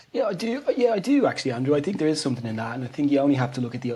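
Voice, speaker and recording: A man with an Irish accent speaks over noticeable background noise. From Ireland. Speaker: physiotherapist. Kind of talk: interview.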